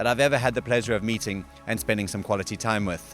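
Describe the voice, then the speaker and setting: A man talks with music in the background. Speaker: Ibiza host. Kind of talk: scripted vlog intro to camera. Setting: recorded with a microphone.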